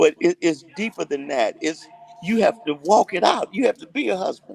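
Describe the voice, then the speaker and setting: Here is a man with an unremarkable speaking voice. He keeps a moderate pace and ordinary pitch variation in a dry, close sound with no echo. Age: 60s. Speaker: gospel singer. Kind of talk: casual chat.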